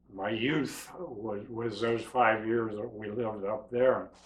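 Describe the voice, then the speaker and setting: A man with an American accent at a fairly slow pace, fairly even intonation, and audible room echo. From western Pennsylvania / Youngstown, Ohio area. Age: 70s. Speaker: documentary interviewee. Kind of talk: life story interview.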